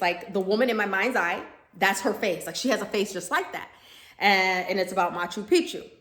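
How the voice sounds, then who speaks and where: With noticeable background noise behind her, a woman at medium pitch talks in an animated tone at a fairly quick pace, showing ordinary pitch variation. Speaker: spiritual medium, vlogger. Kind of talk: casual monologue vlog. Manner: fast.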